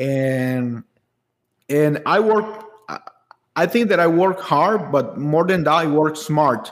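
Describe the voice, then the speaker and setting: At a very slow pace with long, frequent pauses, the speaker talks with a Spanish accent, lively intonation and very even loudness. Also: man, fairly high pitch for a man. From Honduras. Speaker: architect. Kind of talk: casual chat. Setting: video call.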